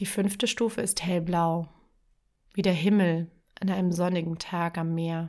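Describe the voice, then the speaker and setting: Low-ish in pitch, a woman speaks slowly in a calm, soothing tone, flat and monotone, leaving long, frequent pauses. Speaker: podcast host and writing coach. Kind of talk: guided meditation. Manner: slow, soft, calm and soothing, with long pauses; gentle, dreamy, lulling imagery.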